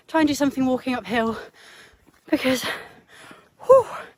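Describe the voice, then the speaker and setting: A woman talks rather briskly while clear background noise carries on. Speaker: hiking vlogger. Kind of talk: casual vlog narration while hiking. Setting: outdoors on a hill trail. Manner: heavy breathing, gasping.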